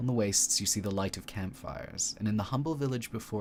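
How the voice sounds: The pitch rises and falls in an ordinary way. It is a natural reading voice throughout.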